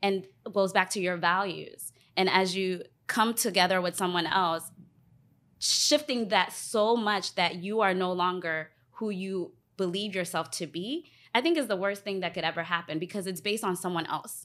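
With an American accent, a woman talks in a plain, everyday voice at a medium pitch, showing ordinary pitch variation at a moderate pace on a very clean recording with a silent background. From US, DC area (Alexandria, Virginia). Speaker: relationship podcast guest. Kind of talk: casual chat.

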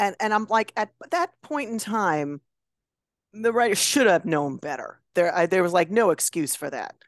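A woman with an American accent talks at a moderate pace, her pitch medium but swinging very widely. The sound is dry and close with no echo, over a quiet background. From Chicago area. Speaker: novelist and former drama teacher. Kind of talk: casual chat.

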